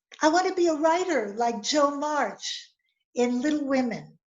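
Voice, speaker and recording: Speaking at a very slow pace, a woman with an American accent uses a high pitch and lively intonation. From US Midwest, Highland Park, Illinois. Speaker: storyteller. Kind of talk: storytelling. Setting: video call. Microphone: close to the mic, slightly distorted.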